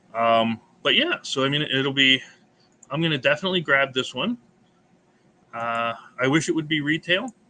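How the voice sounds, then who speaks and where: With music in the background, a man at a fairly high pitch talks at a moderate pace with ordinary pitch variation and long, frequent pauses. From United States. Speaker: board game channel host. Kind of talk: casual chat.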